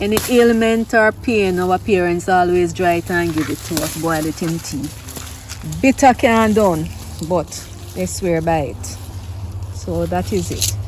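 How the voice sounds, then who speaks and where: A woman talks with a Jamaican accent. Her speech has long, frequent pauses, and there is noticeable background noise. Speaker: gardening vlogger. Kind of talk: casual vlog tutorial. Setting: outdoors in garden. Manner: animated.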